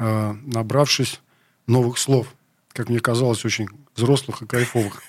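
A man with a medium-pitched voice talks at a fairly slow pace in a monotone, flat intonation. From Leningrad, city centre. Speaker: rock musician. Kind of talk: interview. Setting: radio studio.

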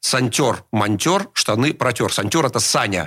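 A man with a plain, everyday voice speaks at a fairly slow pace. His intonation is lively. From Russia, St. Petersburg. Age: 50s. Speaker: rock musician. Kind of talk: radio interview.

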